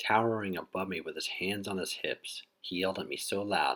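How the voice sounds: Fairly even intonation in a natural reading voice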